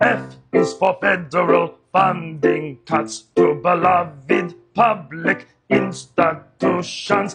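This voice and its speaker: Against loud music in the background, a man puts on a cartoonish character voice, fairly high in pitch, and speaks very slowly. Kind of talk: comedy puppet sketch.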